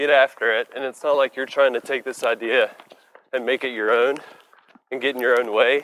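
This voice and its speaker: A man speaks at a fairly quick pace and a medium pitch, his intonation monotone and flat. Long pauses come often. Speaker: physical therapist podcast host. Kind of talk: casual interview while running. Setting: outdoors on a run.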